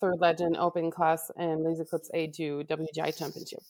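With a Quebec accent, a woman talks at a fairly quick pace. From Quebec, Canada (Laval). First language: French. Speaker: color guard director. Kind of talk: casual chat. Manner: halting, searches for words.

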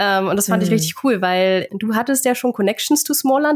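A woman talks at a very fast pace. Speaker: podcast host. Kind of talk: casual chat.

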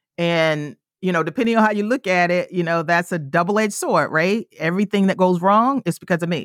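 In a very clean recording with a silent background, the sound is dry and close with no echo. A woman with an American accent speaks at a fairly quick pace in a plain, everyday voice, fairly low in pitch with ordinary pitch variation. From US South, rural South Carolina. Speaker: personal finance author and educator. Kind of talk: interview.

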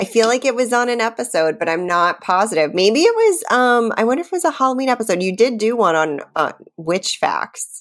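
This loud woman speaks fairly quickly with an American accent, her fairly high voice making very wide pitch swings. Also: hardly any pauses. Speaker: podcast co-host. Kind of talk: casual chat. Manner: laughs a lot, loud laugh.

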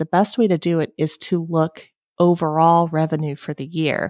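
A woman with an American accent talks in a normal speaking voice, fairly low in pitch, at a moderate pace with fairly even intonation, the sound dry and close with no echo on a very clean recording with a silent background. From Appalachia, eastern US. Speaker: graphic designer and entrepreneur. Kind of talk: interview.

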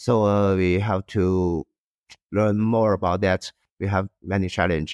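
In a Chinese accent, a man speaks fairly slowly at a fairly low pitch, with a dry, close sound and no echo. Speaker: industrial designer and co-founder. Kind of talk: interview, conversational. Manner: halting, hesitant with fillers.

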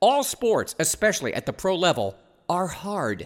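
A man talks with vocal fry. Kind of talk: sales pitch. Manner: brisk, upbeat ad-read patter, clearly rattling off prices; salesman-like enthusiasm, pushing the deal.

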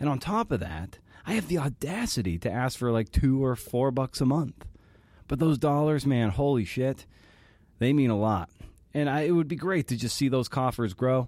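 On a very clean recording with a silent background, a man with an unremarkable speaking voice talks at medium pitch and a moderate pace with lively intonation. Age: 40s. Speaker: podcast host. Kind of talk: casual chat.

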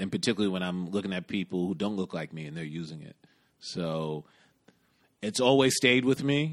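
Fairly quick, lively speech with big swings in loudness against a quiet background. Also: man. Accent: New York. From New York City. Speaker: podcast host, fashion stylist. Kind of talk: casual chat, podcast intro.

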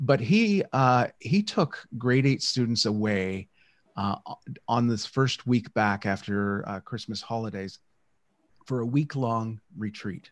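In a Canadian accent, a man speaks at a very slow pace and a medium pitch, with ordinary pitch variation. The recording is very clean, with a silent background. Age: 60s. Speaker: educator and radio broadcaster. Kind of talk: interview conversation. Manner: hesitant, many fillers.

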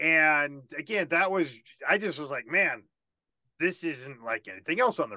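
A man with a fairly high pitch and a bright, sharp tone speaks at a moderate pace with lively intonation against a quiet background. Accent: American. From Washington DC area. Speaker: podcast host. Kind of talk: casual interview.

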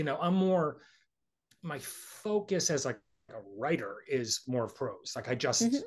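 At a fairly slow pace, a man talks in a fairly high pitch with very wide pitch swings. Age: 50s. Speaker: writer. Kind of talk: interview.

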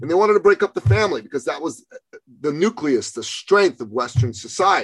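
Heard in a dry, close sound with no echo, a man with a high voice speaks in an animated tone, his pitch swinging very widely. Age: 50s. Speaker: podcast host and men's coach. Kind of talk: casual chat.

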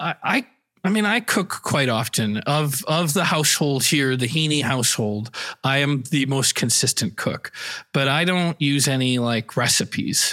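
Using a plain, everyday voice, a man with a fairly high pitch speaks at a fairly slow pace, with ordinary pitch variation and very even loudness. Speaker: podcast host. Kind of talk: improv comedy show, casual.

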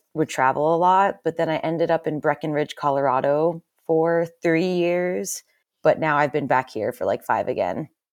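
A woman with an American accent and a normal speaking voice, fairly low in pitch, at a moderate pace. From Pennsylvania. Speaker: former pro snowboarder, brain injury survivor. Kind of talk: interview.

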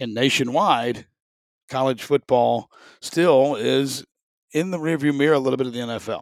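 This man has a medium pitch and a Southern US accent, speaking at a moderate pace. He leaves long, frequent pauses, and the recording is very clean with a silent background. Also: ordinary pitch variation. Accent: Southern US (Georgia). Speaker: sports podcast host and stadium announcer. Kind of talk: casual solo sports talk. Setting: home studio.

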